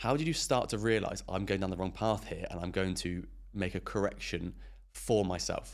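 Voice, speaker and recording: This man talks at a moderate pace in a fairly low pitch with vocal fry and ordinary pitch variation. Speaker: podcast host. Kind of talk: casual interview.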